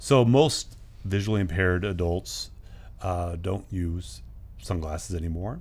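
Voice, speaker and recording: Somewhat breathy, lively intonation at a fairly slow pace, with audible room echo. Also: man, very deep, low pitch for a man. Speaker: nonprofit CEO. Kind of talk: interview. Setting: studio.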